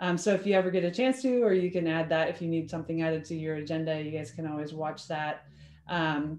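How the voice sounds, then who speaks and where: Audible room echo surrounds a dark, mellow tone delivered at a fairly quick pace. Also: woman. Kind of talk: meeting presentation. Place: home room. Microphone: video call.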